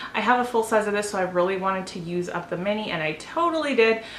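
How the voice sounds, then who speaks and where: Speaking very fast at medium pitch with ordinary pitch variation, a woman is heard amid audible room echo and noticeable background noise. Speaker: beauty vlogger. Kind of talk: product review. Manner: casual with fillers.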